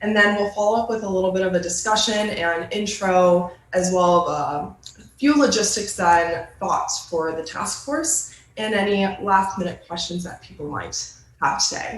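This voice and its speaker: With a Midwestern US accent, the speaker goes at a moderate pace with ordinary pitch variation and big swings in loudness, amid audible room echo and noticeable background noise. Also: woman, medium pitch for a woman. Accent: US Midwest. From Michigan, Ann Arbor. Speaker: graduate student intern presenting. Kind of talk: presentation at a virtual meeting. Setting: video call.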